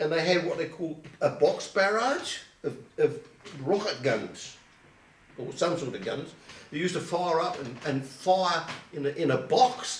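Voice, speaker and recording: A man with an Essex accent speaks in a high voice with lively intonation and long, frequent pauses. Noticeable background noise and audible room echo surround him. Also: fairly slow pace. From Colchester, Essex, England. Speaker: oral history interviewee. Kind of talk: oral history interview. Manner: halting.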